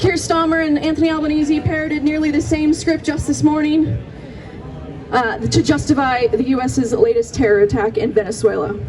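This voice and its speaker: A woman with an American accent speaks fairly quickly in a high voice with lively intonation and very even loudness, over noticeable background noise. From US Pacific Northwest. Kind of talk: rally speech. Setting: outdoor rally.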